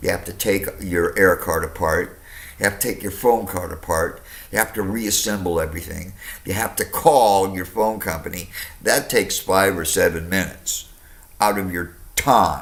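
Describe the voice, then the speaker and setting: Noticeable background noise sits behind a man with a fairly low pitch and ordinary pitch variation. His tone is animated and his pace moderate. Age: 60s. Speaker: customer complaining to phone company. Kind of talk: phone complaint call.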